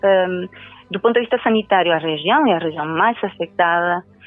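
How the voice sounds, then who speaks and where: Using lively intonation, a woman speaks at a moderate pace in a Spanish accent. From Venezuela. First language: Spanish (speaking Portuguese). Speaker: university professor of international relations. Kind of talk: interview. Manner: halting, with many fillers.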